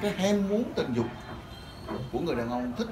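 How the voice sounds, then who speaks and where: Background noise is noticeable as a man speaks at a moderate pace. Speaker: lecturer. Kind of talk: lecture. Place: classroom.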